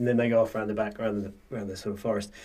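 His voice, that of a man, sits at a medium pitch. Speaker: podcast host. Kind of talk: casual chat. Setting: studio.

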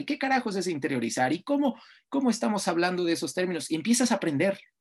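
The pace is very fast, with very wide pitch swings. The background is quiet. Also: man. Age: 30s. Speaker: sports journalist and lecturer. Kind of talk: interview.

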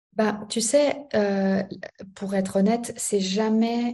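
A woman speaks at a very slow pace. Audible room echo fills the recording. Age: 30s. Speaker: business coach. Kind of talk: casual chat.

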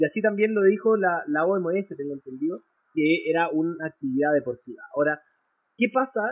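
Speaking at a moderate pace, a man uses lively intonation and a high pitch. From Chile. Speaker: esports lawyer. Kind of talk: interview.

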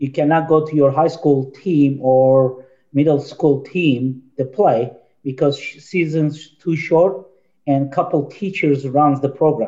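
A man speaks very slowly with fairly even intonation and a dark, mellow tone. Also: fairly high pitch for a man. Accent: Turkish. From Turkey. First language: Turkish. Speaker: youth soccer director and coach. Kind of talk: casual panel discussion.

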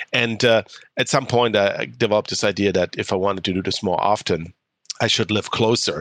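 Ordinary pitch variation in a German accent. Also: man. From Germany. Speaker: clean tech entrepreneur. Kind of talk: interview.

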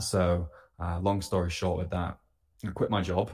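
A man with a British accent speaks at a moderate pace in a very deep, low pitch. His intonation is monotone and flat, and the recording is very clean with a silent background. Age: 20s. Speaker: health coach. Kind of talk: casual interview.

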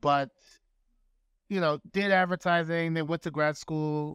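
Speaking at a fairly quick pace, a man with an American accent keeps his intonation fairly even in a very clean recording with a silent background. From New York City (Bronx). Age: 40s. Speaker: art curator. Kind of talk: interview conversation.

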